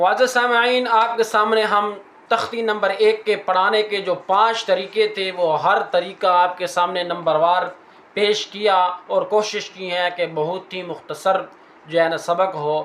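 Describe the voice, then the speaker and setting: This man talks with a high pitch and fairly even intonation. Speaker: Quran teacher and reciter (qari). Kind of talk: Urdu teaching lecture to an audience. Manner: clear, explanatory teaching pace.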